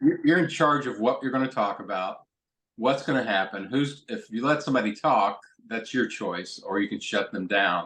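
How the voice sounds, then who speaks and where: With an American accent, a man talks at a moderate pace and a medium pitch. His is an unremarkable speaking voice with lively intonation. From Kentucky, US. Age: 60s. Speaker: stand-up comedian and rhetoric professor. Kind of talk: interview conversation.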